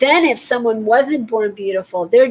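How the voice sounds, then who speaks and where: Speaking at a moderate pace, this woman has a fairly high pitch with ordinary variation. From California. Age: 50s. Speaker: vlogger. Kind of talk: casual monologue.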